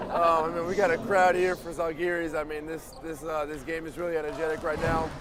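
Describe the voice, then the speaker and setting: A man's high-pitched voice at a fairly quick pace, with monotone, flat intonation, audible room echo and noticeable background noise. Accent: American. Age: young (18). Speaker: basketball player. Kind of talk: casual interview. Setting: live event courtside with loud crowd.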